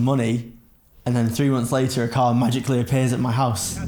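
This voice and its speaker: Noticeable background noise and audible room echo surround a man talking at a fairly quick pace at medium pitch with monotone, flat intonation. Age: 20s. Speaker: drift car enthusiast. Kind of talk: documentary interview.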